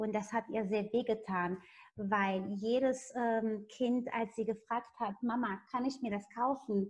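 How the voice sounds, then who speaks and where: Over a quiet background, a woman with a fairly high pitch and a somewhat breathy voice speaks at a very slow pace with fairly even intonation. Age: 30s. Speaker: network marketing presenter and interpreter; presenter. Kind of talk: sales pitch. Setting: video call. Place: home room. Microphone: video call.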